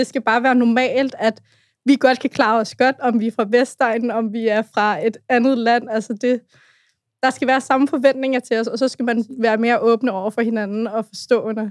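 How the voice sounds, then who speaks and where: A woman's plain, everyday voice, fairly high in pitch, with fairly even intonation and a moderate pace, in a dry, close sound with no echo on a very clean recording with a silent background. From Brøndby, Copenhagen western suburbs. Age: 20s. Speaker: youth activist. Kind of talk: casual chat.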